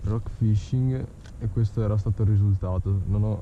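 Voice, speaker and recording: Speaking at a moderate pace, a man with a fairly low pitch comes through a dry recording with no echo and noticeable background noise. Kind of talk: casual vlog commentary. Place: boat. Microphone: phone near.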